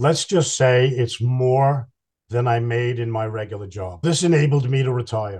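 A man talks at a moderate pace, his voice somewhat breathy. His pitch varies in an ordinary way, and the background is quiet. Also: medium pitch for a man. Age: 60s. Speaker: professional Santa. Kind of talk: casual interview chat.

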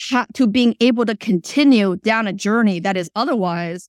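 In a very clean recording with a silent background and a dry, close sound with no echo, a woman with a Chinese accent speaks at a medium pitch and a moderate pace, with ordinary pitch variation. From China, then South Florida from age 12. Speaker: startup CEO. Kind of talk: interview.

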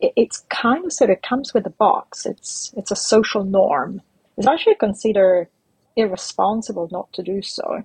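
Her voice fairly high and somewhat breathy, a woman speaks at a moderate pace with lively intonation. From Italy. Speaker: startup founder and investor. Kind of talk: interview.

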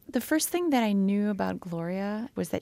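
On a very clean recording with a silent background, a woman speaks in a Quebec accent. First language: French. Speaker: novelist. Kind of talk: interview. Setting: studio.

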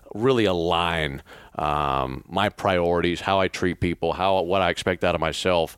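A man's very deep, low voice with a Southern US accent at a moderate pace, on a very clean recording with a silent background. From Mississippi. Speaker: radio play-by-play broadcaster. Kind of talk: interview. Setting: hotel room.

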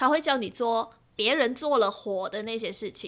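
A woman's bright, sharp voice sits fairly high, with ordinary pitch variation, on a very clean recording with a silent background. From Malaysia. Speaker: radio producer and podcaster. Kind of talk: casual chat. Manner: radio-announcer style delivery.

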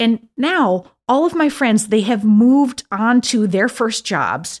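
A woman's very slow, fairly high-pitched speech with an American accent and very wide pitch swings, on a very clean recording with a silent background. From upstate New York. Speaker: podcast host. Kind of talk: scripted narration; casual chat.

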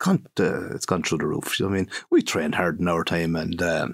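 Here a man speaks with a Kilkenny Irish accent. He keeps a moderate pace with ordinary pitch variation. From Ireland, County Kilkenny. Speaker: former hurler and coach. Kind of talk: casual interview chat. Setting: studio.

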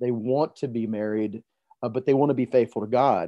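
An unremarkable speaking voice in an American accent with fairly even intonation. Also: man. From US South, Montgomery, Alabama. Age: 40s. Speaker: preacher. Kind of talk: podcast interview.

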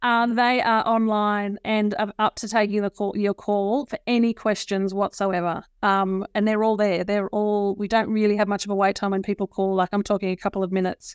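A woman with an Australian accent speaks at a medium pitch and a moderate pace, in a monotone, flat intonation with hardly any pauses. The recording is very clean with a silent background and a dry, close sound with no echo. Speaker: nursing regulator director. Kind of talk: interview. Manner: hesitant with many fillers.

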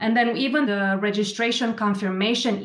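Using a normal speaking voice, a woman talks at a moderate pace with fairly even intonation. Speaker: education nonprofit program manager. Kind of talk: podcast interview.

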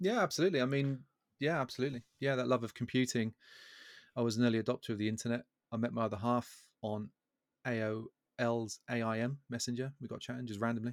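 A man at medium pitch speaks at a very fast pace with fairly even intonation and long, frequent pauses. The recording is very clean and dry, close with no echo, with a silent background. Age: 40s. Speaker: software community founder. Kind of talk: casual chat.

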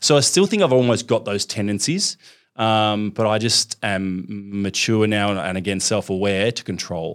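With an Australian accent, a man speaks at a fairly low pitch and moderate pace, with ordinary pitch variation. The recording is very clean with a silent background. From Melbourne, Australia. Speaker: fitness franchise founder. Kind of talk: interview.

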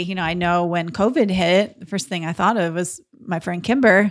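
Speaking at a fairly quick pace, a woman has an unremarkable speaking voice of medium pitch with ordinary pitch variation. The recording is very clean, with a silent background. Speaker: podcast co-host and real estate investor. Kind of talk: casual conversational podcast discussion.

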